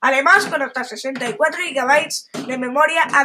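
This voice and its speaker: A woman's raised, projected voice, high in pitch. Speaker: tech podcaster. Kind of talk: reading aloud. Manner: halting.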